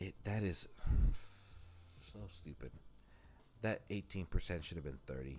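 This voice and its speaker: With music playing behind him, a man speaks in a very deep, low voice with ordinary pitch variation. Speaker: gaming livestreamer. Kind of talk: casual livestream commentary. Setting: live stream. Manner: halting, many fillers.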